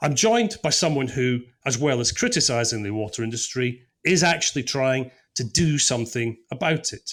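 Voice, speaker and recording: In a very clean recording with a silent background, a man speaks with a Scottish accent. His pitch is medium, his pace moderate and his intonation lively. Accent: Scottish brogue. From Scotland. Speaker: podcast producer and stand-in presenter. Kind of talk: podcast interview with scripted intro.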